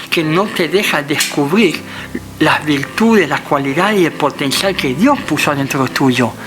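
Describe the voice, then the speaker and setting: Background noise is noticeable as a man talks. His pitch is fairly high and his pace fairly slow. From Netherlands. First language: Dutch (speaking Spanish). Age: 50s. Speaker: interview guest sharing life story. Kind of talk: testimony. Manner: halting.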